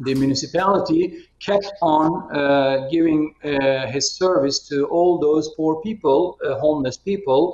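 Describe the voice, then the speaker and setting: Fairly high male voice with a Turkish accent, at a fairly slow pace with hardly any pauses and ordinary pitch variation. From Turkey. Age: 50s. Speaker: politician. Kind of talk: video conference discussion. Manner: halting, many fillers.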